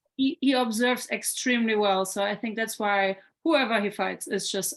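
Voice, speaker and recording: In a very clean recording with a silent background, a woman talks at a moderate pace in an unremarkable speaking voice with ordinary pitch variation. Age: 30s. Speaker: former kickboxing fighter and coach. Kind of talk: interview.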